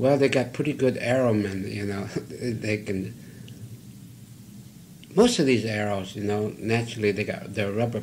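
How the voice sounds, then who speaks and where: Speaking at a moderate pace with long, frequent pauses, a man uses fairly even intonation at a fairly low pitch, his voice somewhat breathy. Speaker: cinematographer. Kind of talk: interview answer.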